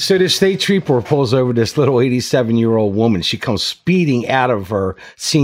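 This is reading aloud in a natural voice. The intonation is lively.

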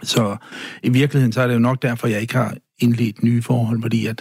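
Somewhat breathy, a man talks at a fairly quick pace. His pitch is medium, and his intonation is fairly even. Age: 60s. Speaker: guest sharing personal story. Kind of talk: interview. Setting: studio.

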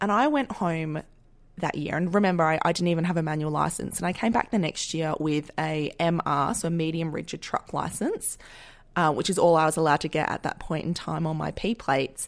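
A woman with an Australian accent talks at a fairly quick pace, her fairly low pitch varying in an ordinary way. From Western Australia, Perth suburbs. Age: 30s. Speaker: podcast host and agriculture worker. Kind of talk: casual solo monologue.

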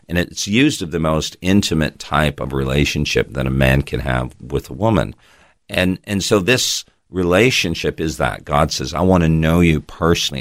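A man's very deep, low pitch with vocal fry, ordinary pitch variation and a moderate pace. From Canada, Toronto. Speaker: pastor. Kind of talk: interview.

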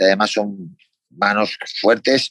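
A man talks with a Spanish accent. The sound is dry and close, with no echo. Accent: Peninsular Spanish. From Spain. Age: 30s. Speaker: MMA fighter. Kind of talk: interview.

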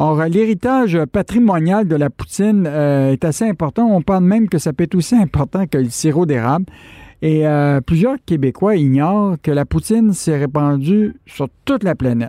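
A man with a fairly high pitch and a dark, mellow tone speaks at a moderate pace with lively intonation, the sound dry and close with no echo.

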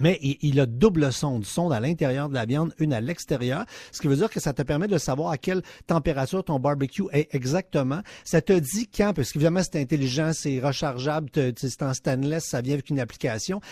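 A man with a fairly high pitch speaks at a moderate pace in a dark, mellow, somewhat breathy voice with lively intonation, on a very clean, dry, close recording with a silent background and no echo. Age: 50s. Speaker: consumer tech columnist. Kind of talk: radio chronicle. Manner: animated.

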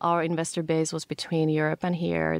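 A woman with a Finnish accent talks at a fairly quick pace. The sound is dry and close with no echo, on a very clean recording with a silent background. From Finland. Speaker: startup founder. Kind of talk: interview.

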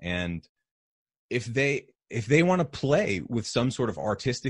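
Over a quiet background, a man speaks with an American accent at a fairly slow pace. His voice is somewhat breathy. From New Hampshire, US. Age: 30s. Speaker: health podcaster and musician. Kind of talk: casual interview chat.

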